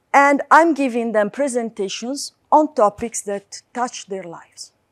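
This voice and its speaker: Fairly high in pitch, a woman speaks with lively intonation. The sound is dry and close with no echo, very clean, against a silent background. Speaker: academic lecturer. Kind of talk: lecture.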